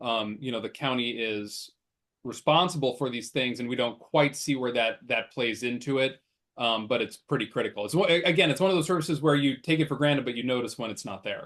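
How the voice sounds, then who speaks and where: Speaking at a fairly quick pace, a man talks with a Midwestern US accent. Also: medium pitch for a man, ordinary pitch variation. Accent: US Midwest. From Nebraska, Omaha. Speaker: political candidate, lawyer. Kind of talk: interview. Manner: fast.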